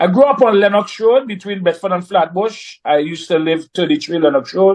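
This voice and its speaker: In a Trinidadian accent, a man with a high pitch speaks at a moderate pace. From Trinidad and Tobago, moved to Brooklyn, New York at ten. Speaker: reggae artist. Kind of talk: interview.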